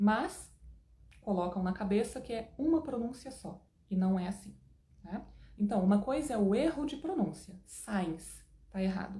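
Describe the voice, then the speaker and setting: With lively intonation and an animated tone, a woman at a medium pitch speaks with long, frequent pauses. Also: fairly slow pace. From Brazil. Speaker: English teacher. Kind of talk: online lesson.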